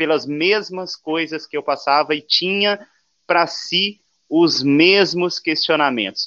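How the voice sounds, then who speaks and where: Here a man talks at a very slow pace. His pitch is fairly high, with ordinary variation. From Brazil, Santo André (São Paulo). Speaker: youtuber. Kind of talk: casual chat.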